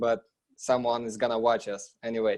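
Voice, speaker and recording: Speaking at a fairly quick pace, a man with a non-native accent uses a medium pitch. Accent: foreign. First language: not English. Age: 20s. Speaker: real estate investor, trucking business owner. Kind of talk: interview.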